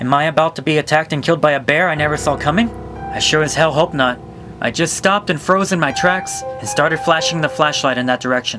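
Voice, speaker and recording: Music plays in the background as a man talks at a very fast pace. His voice sits at a fairly high pitch. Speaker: YouTuber. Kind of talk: horror story narration.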